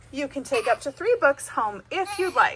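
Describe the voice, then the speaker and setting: A woman puts on a character voice with very wide pitch swings. She speaks at a moderate pace. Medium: read story.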